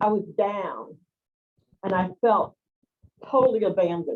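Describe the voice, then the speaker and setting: A woman with a medium pitch speaks with ordinary pitch variation. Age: 60s. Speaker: spiritual healer and community organizer. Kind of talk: personal testimony in an online group call.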